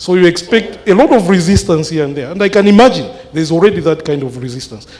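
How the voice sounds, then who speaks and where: A man speaks loudly at a high pitch, with lively intonation and a fairly quick pace. Noticeable background noise is present. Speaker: mathematics lecturer. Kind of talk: town hall question. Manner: halting, many fillers.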